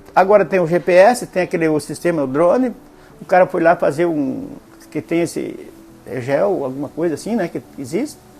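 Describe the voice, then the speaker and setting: Noticeable background noise behind a man's high voice, lively in intonation and moderate in pace. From western Paraná, Brazil. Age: 60s. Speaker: local elder interviewee. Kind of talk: oral history testimony. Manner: halting, with many fillers.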